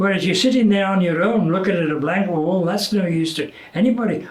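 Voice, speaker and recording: A man talks fairly quickly in a high voice with ordinary pitch variation while noticeable background noise carries on. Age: 80s+. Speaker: retired TV presenter. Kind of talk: interview answer.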